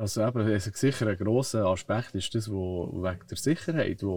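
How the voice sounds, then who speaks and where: On a very clean recording with a silent background, a man with a fairly low pitch and a dark, mellow tone speaks somewhat breathily at a moderate pace. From Switzerland, Bern region. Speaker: stuntman and stunt coordinator. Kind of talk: interview. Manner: hesitant, many fillers.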